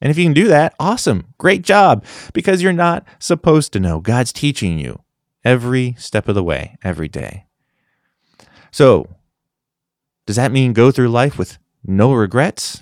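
A man speaks at a moderate pace and medium pitch, his voice swinging very widely in pitch, with long, frequent pauses, in a very clean, dry, close recording with no echo and a silent background. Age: 30s. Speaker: podcast host and Bible teacher. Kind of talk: solo devotional talk. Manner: casual, conversational.

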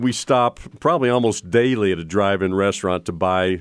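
Fairly quick in pace, a man speaks with a very deep, low pitch and ordinary pitch variation. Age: 60s. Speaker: financial planner radio host. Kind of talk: radio talk show monologue. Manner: halting.

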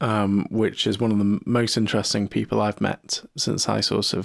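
Recorded very cleanly against a silent background, a man with a British accent speaks at a moderate pace in a fairly low voice, the sound dry and close with no echo. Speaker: podcast host. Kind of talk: casual chat.

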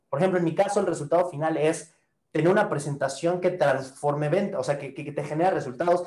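Very fast speech from a man, fairly high in pitch. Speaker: online marketing coach. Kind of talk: online course lesson. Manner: animated.

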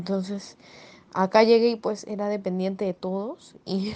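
The woman's intonation stays monotone and flat. Her pitch sits in the medium range. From Venezuela. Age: 20s. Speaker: migrant, professional speed skater. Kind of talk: personal testimony interview.

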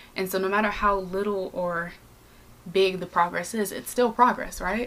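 With long, frequent pauses, a woman talks at medium pitch over noticeable background noise. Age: 20s. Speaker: podcast host. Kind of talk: casual monologue.

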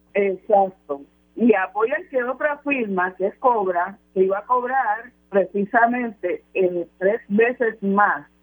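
A woman at medium pitch speaks at a very slow pace with ordinary pitch variation. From Puerto Rico. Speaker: political commentator. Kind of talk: radio panel discussion.

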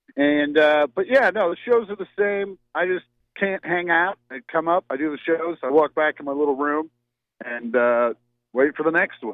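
This man has a plain, everyday voice with a fairly high pitch. He talks at a moderate pace with lively intonation. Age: 40s. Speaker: stand-up comedian. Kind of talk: casual chat.

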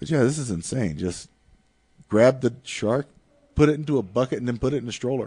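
With an American accent, a man speaks at a fairly quick pace in a medium pitch. He leaves long, frequent pauses, and his pitch varies in an ordinary way. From North/South Carolina border. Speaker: comedian. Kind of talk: casual chat.

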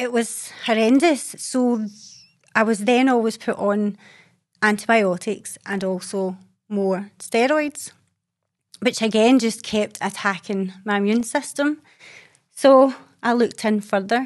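Against a quiet background, a woman with a Scottish accent speaks at a fairly slow pace and fairly high pitch, with ordinary pitch variation and long, frequent pauses. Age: 40s. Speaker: holistic therapist and herbalist. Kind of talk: casual monologue. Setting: video recording.

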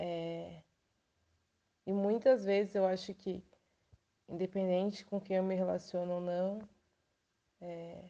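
A woman speaks very slowly in a dark, mellow tone, her intonation flat and monotone. Long pauses come often. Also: medium pitch for a woman. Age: 20s. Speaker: pedagogue. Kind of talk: interview answers.

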